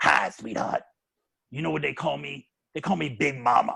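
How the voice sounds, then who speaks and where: A man puts on a raspy character voice at medium pitch, speaking at a moderate pace. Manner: warm, affectionate.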